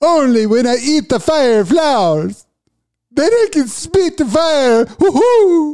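Put-on character voice, pitched high and delivered fairly slowly. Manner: cheerful, excited.

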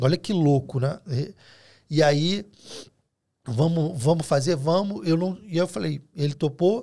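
With a dark, mellow tone, a man speaks at a fairly slow pace and a fairly high pitch, showing ordinary pitch variation. He leaves long, frequent pauses in a very clean recording with a silent background. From Rio de Janeiro, Brazil. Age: 40s. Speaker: food delivery entrepreneur. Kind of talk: casual chat. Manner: halting.

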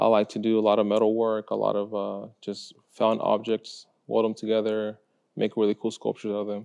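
A man with a Spanish accent talks at a fairly quick pace in a monotone, flat intonation and a fairly low pitch. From Mexico, Guadalajara; moved to Texas at age seven. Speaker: high school art teacher. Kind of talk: interview. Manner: hesitant, many fillers.

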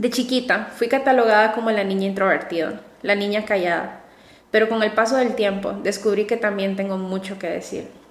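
Amid noticeable background noise and audible room echo, a woman talks at a fairly quick pace and fairly high pitch. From Honduras, coastal city. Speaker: psychologist and podcast host. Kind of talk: solo podcast monologue. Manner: warm, enthusiastic.

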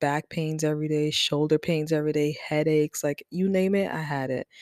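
In a very clean recording with a silent background, the speaker goes at a fairly quick pace with fairly even intonation. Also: woman, dry, close sound with no echo. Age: 20s. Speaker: podcast host and mother. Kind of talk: casual solo talk. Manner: informal, many fillers.

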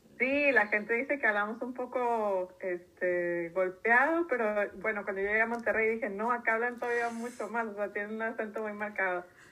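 Speaking at a moderate pace with hardly any pauses, a woman with a fairly high voice is heard over noticeable background noise. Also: ordinary pitch variation. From Mexico, Tijuana. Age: 30s. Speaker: environmental consultant. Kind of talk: interview.

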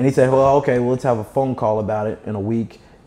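A man talks very fast with fairly even intonation. Noticeable background noise sits behind him. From Kentucky. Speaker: entrepreneur. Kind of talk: casual interview.

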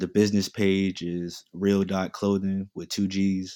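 The speaker has an American accent and a dark, mellow tone, talking at a moderate pace. The recording is very clean, with a silent background. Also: man. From Queens, New York; teen years in North Carolina. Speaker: fashion entrepreneur and student. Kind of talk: casual chat.

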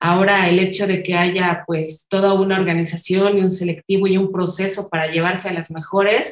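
Pitched in the middle range, a woman speaks at a moderate pace with a monotone, flat intonation. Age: 40s. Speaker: obstacle racing athlete and graphic designer. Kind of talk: interview.

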